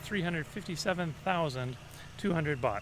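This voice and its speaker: A man with a Canadian accent speaks loudly at a moderate pace with ordinary pitch variation over noticeable background noise. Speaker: vlogger. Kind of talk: casual vlog talk.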